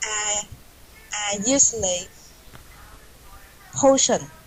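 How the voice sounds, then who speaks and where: A woman with a Vietnamese accent talks at a fairly high pitch over noticeable background noise. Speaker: English learner, accountant. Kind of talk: online English class discussion. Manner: halting.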